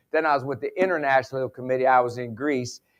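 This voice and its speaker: Against a quiet background, a man with an Appalachian accent speaks in an animated tone at a fairly quick pace and a fairly high pitch. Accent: Appalachian Southern US. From West Virginia. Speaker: sports psychologist and motivational speaker. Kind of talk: conference keynote with humor. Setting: stage with audience.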